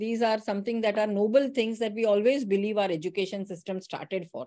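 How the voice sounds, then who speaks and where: This is a woman with a fairly high-pitched voice. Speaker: teacher educator giving a session. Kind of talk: online lecture. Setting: online session. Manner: fast; passionate.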